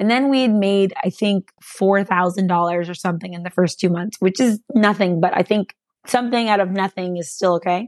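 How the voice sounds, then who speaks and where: A woman with a West Coast accent at a fairly quick pace, with ordinary pitch variation, in a dry, close sound with no echo and a quiet background. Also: medium pitch for a woman, hardly any pauses. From California. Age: 30s. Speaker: entrepreneur. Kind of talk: interview.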